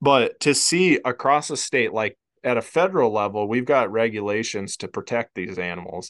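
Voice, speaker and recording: In a very clean recording with a silent background and a dry, close sound with no echo, a man with an unremarkable speaking voice and an American accent speaks at medium pitch and a moderate pace, with lively intonation and hardly any pauses. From Iowa. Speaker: wildlife biology professor. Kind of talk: casual chat.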